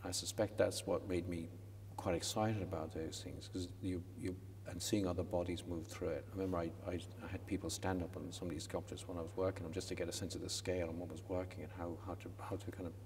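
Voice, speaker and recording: A man speaks very fast in a very deep, low voice with a western Irish accent. His intonation stays monotone and flat, and the room echo is audible. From west coast of Ireland. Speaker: sculptor. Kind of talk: interview. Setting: college chapel. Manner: halting, many repetitions.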